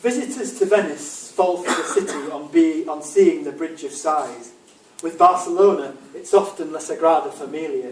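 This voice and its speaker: Pitched high, a man talks at a moderate pace with lively intonation and big swings in loudness. Noticeable background noise can be heard. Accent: English. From England. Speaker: author. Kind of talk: reading aloud.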